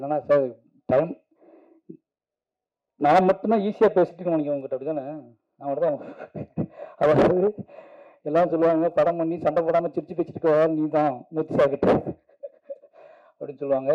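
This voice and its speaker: With ordinary pitch variation, the man's fairly high pitch sits in a normal speaking voice. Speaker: film director giving a speech at a film song launch event. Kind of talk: emotional stage speech at a movie launch event.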